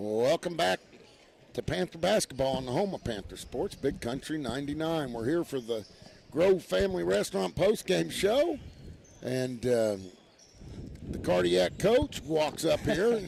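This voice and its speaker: This man speaks at a fairly slow pace with very wide pitch swings. Long pauses come often. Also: medium pitch for a man. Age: 60s. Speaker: radio sports broadcaster. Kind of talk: postgame interview.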